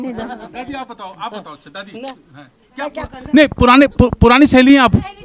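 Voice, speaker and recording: With ordinary pitch variation, a man talks at an extremely high pitch. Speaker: community radio interviewer. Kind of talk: interview questions.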